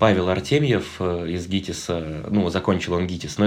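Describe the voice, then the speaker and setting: Very deep, low speech from a man, ordinary in its pitch variation. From Russia, Nizhny Novgorod region (Sarov). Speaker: actor and blogger. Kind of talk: casual monologue.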